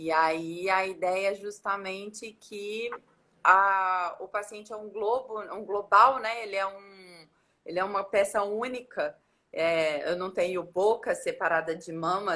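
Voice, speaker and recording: In a Minas Gerais accent, a woman with a medium pitch and a bright, sharp tone speaks at a fairly slow pace, with ordinary pitch variation and big swings in loudness. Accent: Minas Gerais accent, still rooted. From Minas Gerais, Brazil (Belo Horizonte). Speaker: dentist. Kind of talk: interview on a live stream. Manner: halting, with many false starts.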